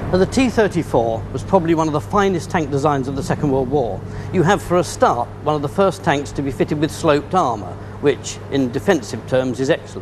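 Over noticeable background noise, a man with a British accent talks at a fairly quick pace in a fairly high pitch. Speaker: military historian. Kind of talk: expert interview commentary. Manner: measured. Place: hall.

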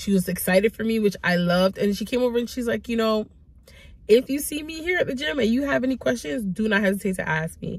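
The speaker moves at a fairly quick pace with lively intonation. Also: woman, fairly high pitch for a woman.

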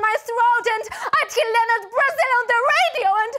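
In a quiet setting, a woman projects a raised voice at a moderate pace, her pitch swinging very widely. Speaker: stage actor. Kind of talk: dramatic theatre monologue. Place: stage. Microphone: headset.

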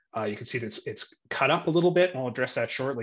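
Lively intonation from a man, quiet background behind. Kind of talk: interview answer explaining screen share. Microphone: video call.

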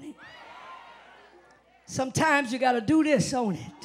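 Light background noise sits behind a woman whose fairly high voice moves at a moderate pace with lively intonation. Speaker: preacher. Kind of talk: live church sermon. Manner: call-and-response, emphatic. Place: church. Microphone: handheld.

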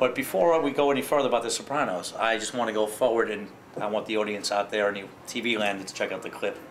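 A man talks at a very fast pace with a medium pitch and ordinary pitch variation. Light background noise runs underneath. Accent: New York. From Brooklyn, New York; New York. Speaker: talk show host. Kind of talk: casual talk show interview. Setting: live venue with audience. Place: bar.

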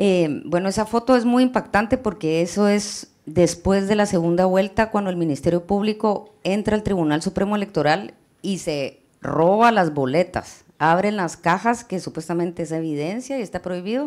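Here is a plain, everyday voice at a moderate pace, with hardly any pauses. Its pitch variation is ordinary, and the background is quiet. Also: woman, medium pitch for a woman. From Guatemala. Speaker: journalist. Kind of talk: presentation. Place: hall.

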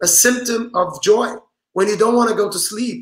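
A man with a Portuguese accent speaks in a bright, sharp tone with fairly even intonation. The background is quiet, with audible room echo. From Brazil. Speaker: rabbi and author; rabbi. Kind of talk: interview. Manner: halting. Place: home room.

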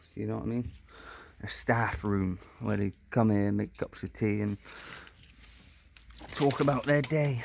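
A man with a normal speaking voice, fairly low in pitch, with lively intonation at a fairly slow pace, in a dry sound with no echo and light background noise. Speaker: urban explorer vlogger. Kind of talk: casual vlog chat. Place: open country. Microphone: phone near.

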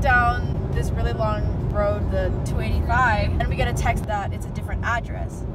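Music plays in the background. The speech is at a moderate pace, with a dry sound and no echo. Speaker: vlogger. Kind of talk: casual vlog chat. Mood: cheerful, upbeat. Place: car. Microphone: phone near.

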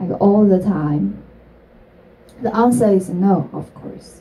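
A woman speaks in a Chinese accent at a very slow pace. Her pitch moves in very wide swings. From China. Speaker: entrepreneur; speaker. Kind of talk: talk to an audience; public talk. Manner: halting. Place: stage.

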